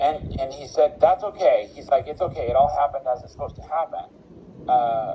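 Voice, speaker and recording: Big swings in loudness mark a man talking at a fairly quick pace amid noticeable background noise. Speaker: intuitive reader / psychic medium. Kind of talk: psychic reading.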